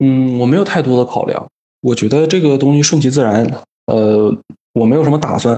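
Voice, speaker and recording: Keeping his loudness very even, a man with a medium pitch talks at a fairly quick pace with ordinary pitch variation. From Northeast China (Daqing). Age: 20s. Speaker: engineer working in Africa. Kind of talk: casual interview. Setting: remote call. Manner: calm.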